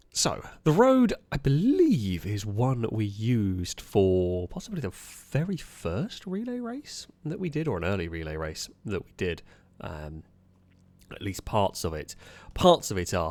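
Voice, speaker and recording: With a British accent, a man speaks at a fairly slow pace. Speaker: gaming YouTuber. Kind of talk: gameplay commentary. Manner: casual, hesitant with fillers.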